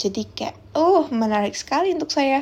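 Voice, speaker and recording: A woman's high voice with very wide pitch swings, a moderate pace, and a strong Javanese accent. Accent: strong Javanese (medok). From Central Java, Semarang. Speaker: university student podcaster. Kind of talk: casual solo podcast chat. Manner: relaxed, chatty.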